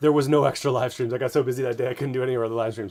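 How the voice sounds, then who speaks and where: A man's raspy, put-on character voice at medium pitch, delivered very fast in a flat monotone. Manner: dramatic, deadpan.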